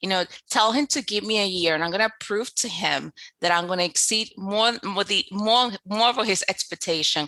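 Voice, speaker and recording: A woman's voice comes through at a medium pitch, bright and sharp in tone, with ordinary pitch variation and very even loudness. She keeps a moderate pace on a very clean recording with a silent background. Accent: New York. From Dominican Republic. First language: Spanish. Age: 30s. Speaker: business coach. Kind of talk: podcast interview.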